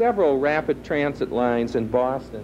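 Over noticeable background noise, a man talks at a fairly slow pace with fairly even intonation. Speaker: teacher acting as tour guide. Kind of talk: interview answer. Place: hall. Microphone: handheld.

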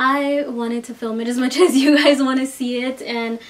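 A woman speaks at a high pitch with fairly even intonation. Light background noise is present. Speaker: beauty vlogger. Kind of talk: casual vlog chat. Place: home room.

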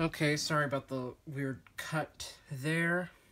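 The sound is dry with no echo as a man speaks at a very slow pace. His tone is bright and sharp. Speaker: drawing channel creator. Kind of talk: casual drawing tutorial vlog. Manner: rambling, animated. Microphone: phone near.

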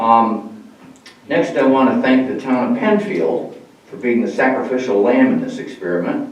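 A man talks with lively intonation, his voice carrying audible room echo over noticeable background noise. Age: 80s+. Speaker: public commenter at village board meeting. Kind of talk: public comment statement. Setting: village board meeting room with microphone. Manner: halting.

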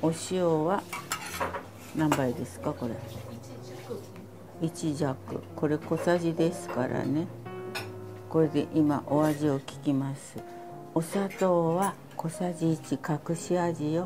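A woman's very deep, low voice at a very slow pace, with ordinary pitch variation, long, frequent pauses, and clear music in the background. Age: 80s+. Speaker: cooking instructor. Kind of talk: cooking class demonstration. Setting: home kitchen. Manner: light, witty. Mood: light, chatty instruction. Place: kitchen. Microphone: lapel.

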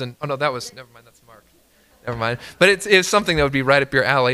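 A bright, sharp tone defines this man's voice. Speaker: pastor. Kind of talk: church announcements and prayer. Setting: church. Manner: hesitant, many filler words. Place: church. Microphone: podium.

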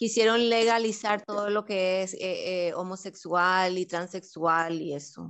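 A woman with a Spanish accent and a medium pitch speaks at a moderate pace with hardly any pauses. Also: fairly even intonation. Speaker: interpreter. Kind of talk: interpretation.

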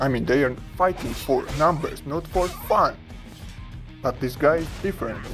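With music in the background, a man with a non-native accent talks at a moderate pace, leaving long, frequent pauses. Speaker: mobile game streamer. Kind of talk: casual gameplay commentary. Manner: casual, profane.

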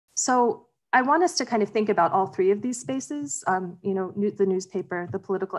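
A woman talks fairly quickly, and the background is quiet. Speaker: academic and activist organizer. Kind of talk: slide presentation talk. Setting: video call. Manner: fast talker. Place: home room. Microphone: video call.

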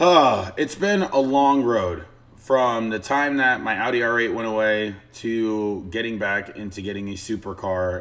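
The speech goes at a moderate pace with ordinary pitch variation. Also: man. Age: 20s. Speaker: lifestyle and fitness vlogger; fitness vlogger. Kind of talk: casual vlog monologue. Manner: animated. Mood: excited, upbeat. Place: home room. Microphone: webcam.

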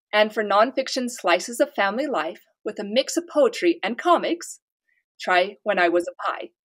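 A fairly high-pitched woman with an American accent, at a moderate pace with very wide pitch swings. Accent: slight hard-to-place. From US, Utah. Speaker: author. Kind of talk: interview. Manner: cheerful, laughs often.

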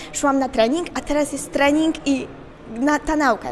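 A woman speaks with monotone, flat intonation over light background noise. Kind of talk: interview answer. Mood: cheerful, relaxed. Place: hall. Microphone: handheld.

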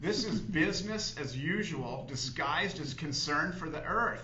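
A man speaks in a room with audible echo. Light background noise is present. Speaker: TV show host or guest. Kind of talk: reading an essay aloud on a talk show. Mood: critical, earnest. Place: studio.

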